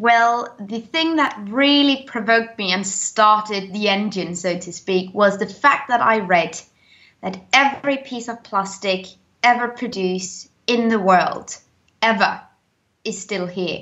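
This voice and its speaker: A woman with a British accent speaks fairly slowly. Her pitch is fairly high, with ordinary pitch variation. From Denmark. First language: Danish. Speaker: zero waste YouTuber. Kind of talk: interview. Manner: talkative, long answers.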